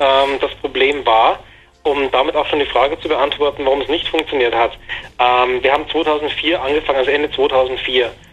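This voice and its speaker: Over noticeable background noise, a man talks at a moderate pace. His pitch is fairly high and his intonation monotone and flat. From Bavaria, Germany. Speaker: games journalist. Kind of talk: interview. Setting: phone call. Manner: hesitant, many fillers.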